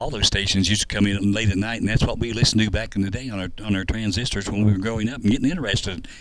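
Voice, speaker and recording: A man with a fairly low voice talks at a very fast pace with hardly any pauses, and audible room echo comes through. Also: fairly even intonation. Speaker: veteran radio broadcaster. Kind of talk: interview.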